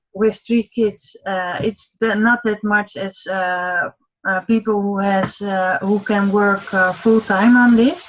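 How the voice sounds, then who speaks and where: Someone with a Dutch accent speaks very slowly with ordinary pitch variation over background music. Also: woman. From Netherlands. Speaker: online marketing entrepreneur. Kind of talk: casual chat. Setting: video call. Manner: halting.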